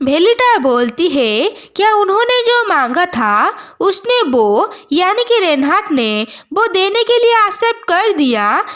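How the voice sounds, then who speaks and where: Extremely high-pitched woman's voice, very slow, with very wide pitch swings. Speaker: manhwa explainer. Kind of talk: story recap narration.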